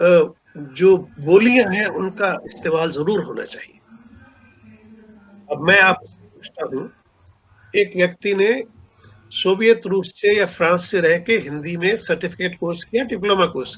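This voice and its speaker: With long, frequent pauses and big swings in loudness, a man talks at a high pitch with ordinary pitch variation. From Punjab, India. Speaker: writer and seminar speaker. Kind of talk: lecture.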